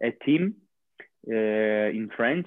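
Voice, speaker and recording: A man speaks at a medium pitch with an Italian accent. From Italy, near Bologna. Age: 20s. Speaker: professional handball player. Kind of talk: interview. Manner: halting.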